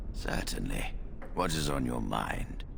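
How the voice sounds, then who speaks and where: Through loud background noise, a man uses a put-on character voice at a fairly slow pace. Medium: machinima. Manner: measured, dignified.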